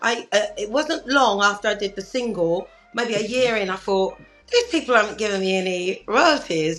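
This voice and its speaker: Speaking at a moderate pace, a woman with a London accent uses lively intonation and a fairly high pitch. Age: 60s. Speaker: singer. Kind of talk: interview.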